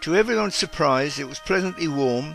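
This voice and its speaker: With music in the background, a man with a British accent speaks at a fairly high pitch. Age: 80s+. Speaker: war veteran. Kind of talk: personal memoir narration.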